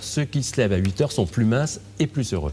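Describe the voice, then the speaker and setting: The man's intonation is lively. He speaks very fast. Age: 60s. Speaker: physician and author. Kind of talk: interview.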